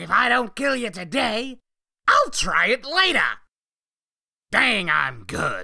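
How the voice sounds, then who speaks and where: The put-on character voice is fairly high-pitched, moving at a fairly slow pace with long, frequent pauses. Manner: taunting, giggly singsong.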